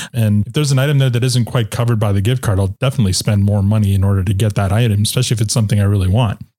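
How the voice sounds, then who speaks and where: A man with a fairly low pitch and a dark, mellow tone talks very fast with hardly any pauses, somewhat breathy, his intonation fairly even. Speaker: podcast host. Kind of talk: corporate podcast host, interview.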